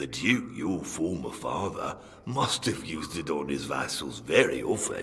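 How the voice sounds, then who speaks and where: Here a man uses a put-on character voice. He talks at a fairly slow pace. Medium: video game. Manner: dry, sardonic, unhurried.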